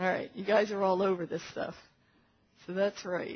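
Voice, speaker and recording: A woman talks at a medium pitch. Her voice is somewhat breathy. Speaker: physician lecturer. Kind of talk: medical lecture. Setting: conference room with audience.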